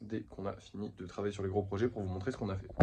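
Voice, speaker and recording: Talking at a very fast pace, a man is heard over noticeable background noise. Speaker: vlogger and craft maker. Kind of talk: casual vlog. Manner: soft-spoken.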